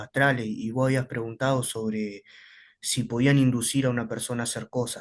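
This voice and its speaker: At a fairly quick pace, a man speaks in a medium pitch with ordinary pitch variation over a quiet background. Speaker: student. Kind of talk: classroom question.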